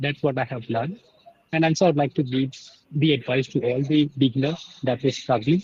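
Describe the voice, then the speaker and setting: A fairly high-pitched man with an Indian accent and fairly even intonation. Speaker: English learner. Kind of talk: conversation practice. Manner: fast; halting.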